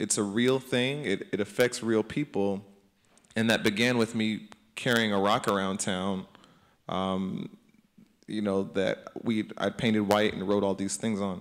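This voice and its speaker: With an American accent, a man talks at a fairly slow pace in a fairly low voice, his intonation fairly even against a quiet background. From US South. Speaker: activist and liturgy organizer. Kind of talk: panel discussion. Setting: church forum with live audience. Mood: earnest, impassioned. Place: hall. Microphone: handheld.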